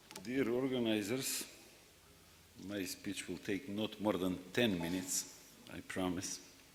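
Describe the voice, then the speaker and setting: Pausing long and often, a man speaks at a fairly slow pace and fairly low pitch with ordinary pitch variation, and the room gives an audible echo. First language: not English. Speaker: secretary general of regional rural development organization. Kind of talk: conference speech. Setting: plenary session with audience.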